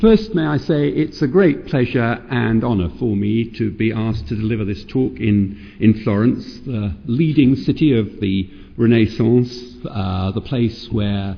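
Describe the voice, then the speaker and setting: With a British accent, a man talks at a fairly slow pace in a medium pitch. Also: hardly any pauses. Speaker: professor of child psychiatry. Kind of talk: lecture. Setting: stage with audience. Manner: halting.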